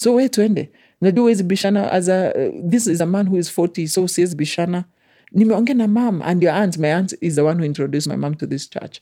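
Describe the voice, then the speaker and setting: The speaker talks at a very fast pace in a Kenyan accent, in a very clean recording with a silent background. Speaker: guest sharing life story. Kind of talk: personal testimony interview. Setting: studio.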